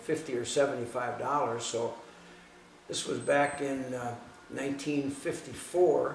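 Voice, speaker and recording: In an Upper Midwest US accent, a man speaks fairly slowly in a fairly high, monotone, flat voice, with audible room echo and noticeable background noise. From Southeast Wisconsin. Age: 60s. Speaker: hot rod shop owner, former racer. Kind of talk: interview monologue. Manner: halting, with repetitions.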